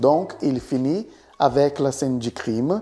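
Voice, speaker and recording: A man with a strong Brazilian accent, a dark, mellow tone, lively intonation and a very slow pace. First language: Portuguese (speaking French). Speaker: literature and writing YouTuber. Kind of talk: educational talk. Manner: animated, with repetitions and hesitations.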